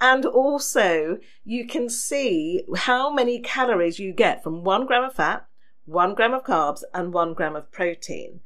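Speaking with an English accent, a woman uses a high pitch with very wide pitch swings. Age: 50s. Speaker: podcast host. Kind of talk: solo podcast talk. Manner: chatty.

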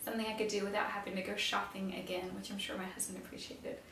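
Woman's voice with fairly even intonation, audible room echo and light background noise. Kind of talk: casual advice talk to camera. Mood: warm, friendly. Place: home room.

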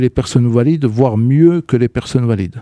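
In a quiet, dry space without echo, a man speaks in a dark, mellow tone with ordinary pitch variation. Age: 40s. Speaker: communication agency director; radio guest. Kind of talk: radio interview. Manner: halting, many hesitations. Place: studio. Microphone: studio mic.

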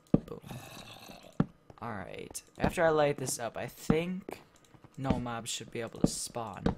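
Noticeable background noise runs under speech at a fairly slow pace with long, frequent pauses. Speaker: gaming YouTuber. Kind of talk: gameplay commentary. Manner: casual.

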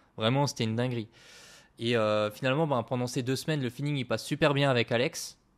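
Very fast speech from a man with fairly even intonation, on a very clean recording with a silent background. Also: medium pitch for a man. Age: 20s. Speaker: agency founder. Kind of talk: casual chat.

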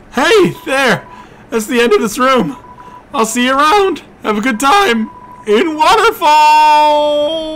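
A man puts on a character voice pitched extremely high. He speaks at a fairly slow pace. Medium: actual play. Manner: chatty, repetitive tag questions.

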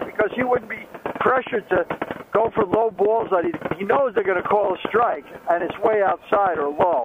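The speech moves at a moderate pace in a dry sound with no echo, over noticeable background noise. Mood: relaxed, joking. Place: motorbike. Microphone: helmet.

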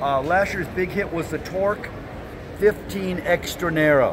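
Clear background noise accompanies a man with a high pitch and ordinary pitch variation. He talks at a fairly slow pace.

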